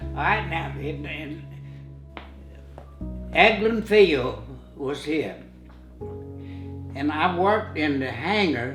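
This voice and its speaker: Music plays in the background as a man speaks very slowly. His loudness swings widely, and he takes long, frequent pauses. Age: 80s+. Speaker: war veteran. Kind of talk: interview answer.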